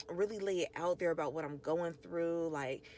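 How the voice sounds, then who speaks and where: This soft-spoken woman has a fairly low pitch. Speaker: podcast host and small business owner. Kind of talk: casual monologue. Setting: in a car. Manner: casual, filler-heavy.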